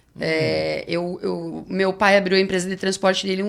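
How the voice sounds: A woman's mid-range voice moves along at a moderate speed.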